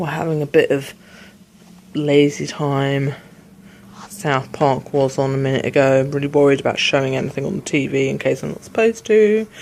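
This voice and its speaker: A woman with a British accent speaks at a very deep, low pitch with ordinary pitch variation. Her pace is moderate, broken by long, frequent pauses. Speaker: vlogger. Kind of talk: casual vlog chat.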